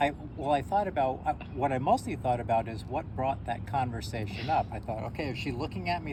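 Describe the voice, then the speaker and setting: This man has an ordinary speaking voice at a medium pitch. He talks at a fairly quick pace. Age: 60s. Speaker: shop owner and school teacher. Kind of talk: casual chat. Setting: outdoors.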